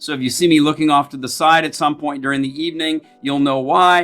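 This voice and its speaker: At a fairly quick pace, a man with an American accent talks in a bright, sharp tone with a fairly high pitch. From United States. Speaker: customer service educator. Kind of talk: presentation. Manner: fast.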